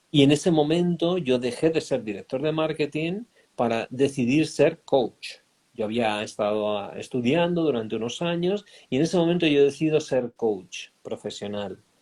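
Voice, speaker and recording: With a Spanish accent, a man speaks at a moderate pace in a fairly high pitch with lively intonation. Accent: Spanish from Spain. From Spain. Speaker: life coach. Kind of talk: interview. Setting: online live stream.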